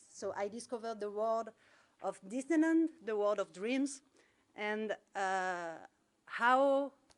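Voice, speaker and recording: A woman speaks in a French accent at a fairly high pitch with lively intonation. Her pace is very slow, with long, frequent pauses. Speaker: alumna. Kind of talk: testimony.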